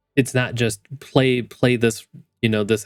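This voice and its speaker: The man's intonation is monotone and flat. His pace is moderate. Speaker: gaming youtuber. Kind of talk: casual unscripted monologue. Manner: halting, repeats words.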